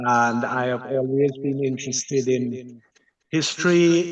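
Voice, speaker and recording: Very slowly and with fairly even intonation, a man talks at a medium pitch. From Dominica. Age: 70s. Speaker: local historian. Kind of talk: interview conversation. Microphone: unstable internet connection.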